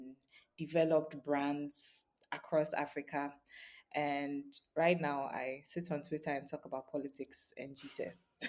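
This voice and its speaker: At a fairly slow pace, a woman talks in a very deep, low pitch. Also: fairly even intonation. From Ghana. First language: German and Ga. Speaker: brand strategist and writer. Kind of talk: interview.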